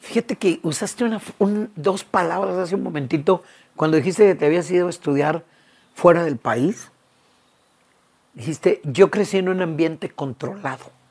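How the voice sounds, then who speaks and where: A woman speaks at a moderate pace with a fairly low pitch and lively intonation. Her speech has long, frequent pauses. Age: 60s. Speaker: conference speaker on the Bible. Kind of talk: interview conversation.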